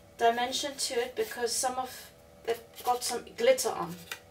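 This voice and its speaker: A woman with a South African accent speaks at a high pitch and a moderate pace. Noticeable background noise runs behind her. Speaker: crafter. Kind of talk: tutorial. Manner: hesitant, with many fillers.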